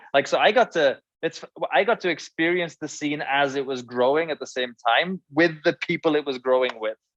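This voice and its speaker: Fairly high-pitched male speech at a moderate pace with ordinary pitch variation, dry, close sound with no echo and a quiet background. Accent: Welsh. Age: 30s. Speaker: former band musician. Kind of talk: casual chat. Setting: live stream interview.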